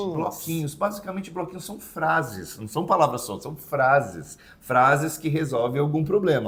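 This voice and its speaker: With lively intonation and big swings in loudness, a man speaks at a moderate pace and a fairly high pitch, with hardly any pauses. Noticeable background noise runs behind him. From Santos, São Paulo, Brazil. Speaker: English teacher, YouTube host. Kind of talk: casual educational chat.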